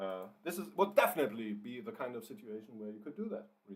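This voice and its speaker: A man with a German accent at a fairly quick pace, with very wide pitch swings. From Germany. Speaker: writer and livestreamer. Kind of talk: live writing stream, casual chat. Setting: livestream. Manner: hesitant, many fillers and repeats.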